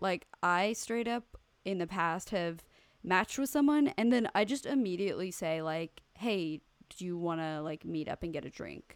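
This woman's pitch sits in the medium range, and her intonation is lively. She talks at a moderate pace in an ordinary speaking voice. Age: 20s. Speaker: podcast co-host. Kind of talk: reading listener email aloud; casual chat.

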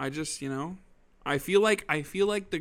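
A man with an American accent speaks at a moderate pace in a normal speaking voice. His pitch is fairly high with ordinary variation, and the recording is very clean with a silent background. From Arizona (Gilbert). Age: 20s. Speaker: podcast co-host. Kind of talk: casual chat.

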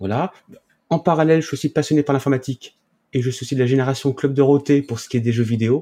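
The speech comes at a very fast pace with fairly even intonation. The recording is very clean, with a silent background. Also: man, fairly high pitch for a man. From Paris region, raised in Charente-Maritime from about age 10. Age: 30s. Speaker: hemp association president and grower. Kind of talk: interview. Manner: halting, with repetitions.

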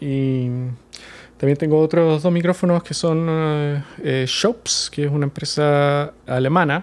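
Fairly even intonation from a fairly high-pitched man, in a very clean recording with a silent background. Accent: Chilean. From Chile. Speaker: sound recordist. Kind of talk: casual interview.

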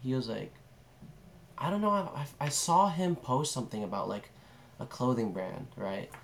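A somewhat breathy voice with very wide pitch swings and long, frequent pauses. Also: man, medium pitch for a man, moderate pace. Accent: American. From California, San Francisco area. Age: 18. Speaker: videographer. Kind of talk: casual chat.

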